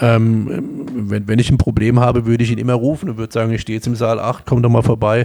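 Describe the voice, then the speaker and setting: Barely pausing, a man talks at a very fast pace with a medium pitch and fairly even intonation. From Palatinate, Germany (Kaiserslautern). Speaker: emergency physician. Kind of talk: interview.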